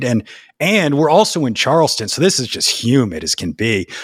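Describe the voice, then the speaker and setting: A man speaks at a moderate pace with vocal fry and very wide pitch swings. The recording is very clean, dry and close, with no echo and a silent background. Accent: American. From US South, New Orleans. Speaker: podcast host and storyteller. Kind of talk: casual chat.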